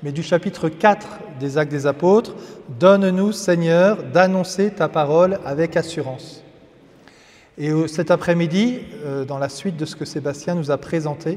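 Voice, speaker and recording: An ordinary amount of pitch movement in fairly slow speech. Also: man. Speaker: priest. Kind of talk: religious teaching.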